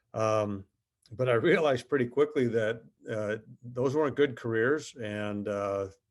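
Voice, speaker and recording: A man talks at a fairly slow pace in an Upper Midwest accent. The background is quiet. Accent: Upper Midwest American. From southern Minnesota, US Midwest. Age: 50s. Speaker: company executive. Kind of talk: interview. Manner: halting, many fillers.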